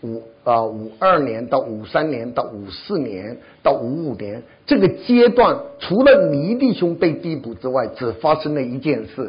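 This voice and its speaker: A man talks at a moderate pace in a fairly high, somewhat breathy voice. His pitch swings very widely and his loudness shifts a lot. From China. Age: 70s. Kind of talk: testimony. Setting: church.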